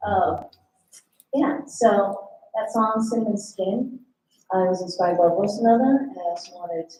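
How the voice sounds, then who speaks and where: Her lively intonation carries a woman's medium-pitched voice. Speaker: singer-songwriter performing live. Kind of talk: on-stage song introductions between performances. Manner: casual, hesitant with many fillers. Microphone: sound issues during the set.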